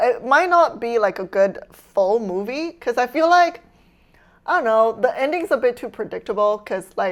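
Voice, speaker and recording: An animated woman with a Chinese accent, high-pitched, with very wide pitch swings at a moderate pace. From China. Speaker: streamer. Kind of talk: casual live stream chat. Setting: home kitchen.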